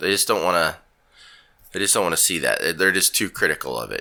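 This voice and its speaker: The voice has a bright, sharp tone with vocal fry. The recording is very clean, with a silent background. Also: man. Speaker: podcast co-host. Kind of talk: casual chat.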